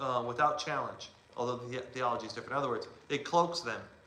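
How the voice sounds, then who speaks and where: Noticeable background noise and audible room echo accompany a man speaking in an animated tone with ordinary pitch variation. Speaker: church teacher. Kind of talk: lecture. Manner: loud.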